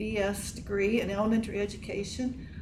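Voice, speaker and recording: Noticeable background noise sits under this clip. A woman with an American accent speaks at a moderate pace and a medium pitch. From Page County, Virginia. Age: 70s. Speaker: retired elementary teacher. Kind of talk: casual interview. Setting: in-person at college campus.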